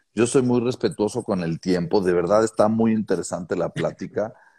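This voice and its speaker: A man speaks at a fairly slow pace in a fairly low pitch, with a dark, mellow tone and ordinary pitch variation. The recording is very clean with a silent background and a dry, close sound with no echo. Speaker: podcast host. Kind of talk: interview.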